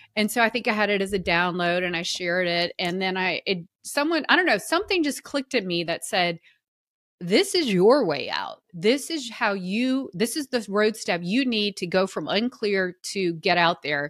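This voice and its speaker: A woman with a Southern US accent speaks at a medium pitch and moderate pace with lively intonation, on a very clean recording with a silent background. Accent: Southern American. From US South. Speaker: personal brand consultant and author. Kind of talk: casual chat.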